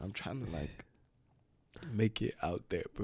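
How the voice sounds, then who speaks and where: At a moderate pace, a man with a fairly low pitch talks with vocal fry. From Ghana. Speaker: basketball player. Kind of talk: casual chat.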